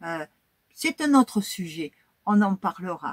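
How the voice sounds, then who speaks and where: In a dry, close sound with no echo, a somewhat breathy woman speaks at a very slow pace with very wide pitch swings. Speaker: YouTuber, history and crafts channel. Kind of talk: casual vlog talk to viewers.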